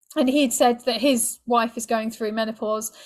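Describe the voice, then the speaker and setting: Speaking in a British accent at a fairly quick pace, a woman with a fairly high pitch keeps a monotone, flat intonation on a very clean recording with a silent background. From Britain. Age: 40s. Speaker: sex and relationship coach. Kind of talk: podcast interview.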